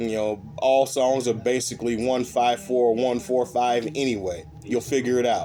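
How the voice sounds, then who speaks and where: A man at a medium pitch and a fairly slow pace, with music in the background. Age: 60s. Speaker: bass player. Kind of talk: casual chat. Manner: halting.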